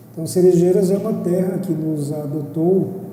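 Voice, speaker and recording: Noticeable background noise and audible room echo around a man's voice, ordinary pitch variation. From Brazil, Mato Grosso do Sul. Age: 60s. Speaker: former business association president, accountant. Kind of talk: interview.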